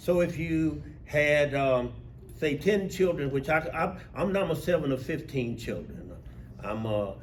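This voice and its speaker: With a Mississippi accent, a man talks at a fairly slow pace, with audible room echo. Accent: Southern US, Mississippi. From US South, rural Mississippi. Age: 70s. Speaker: civil rights veteran and union steward. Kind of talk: talk to an audience. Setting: talk to a group of union workers.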